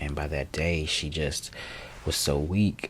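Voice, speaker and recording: A man is whispering. He is soft-spoken. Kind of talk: ASMR life update talk. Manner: whispered or soft-spoken.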